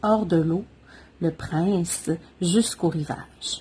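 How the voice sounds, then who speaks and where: Speaking at a very slow pace in a Quebec accent, a woman has a somewhat breathy voice with a dark, mellow tone. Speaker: mother of triplets. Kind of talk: children's story reading.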